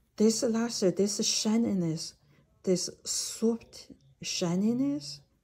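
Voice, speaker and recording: A woman's somewhat breathy voice, dark and mellow in tone, at a very slow pace. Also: ordinary pitch variation. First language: not English (English is third language). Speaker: jade expert and educator. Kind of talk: video lecture. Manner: halting, with many fillers.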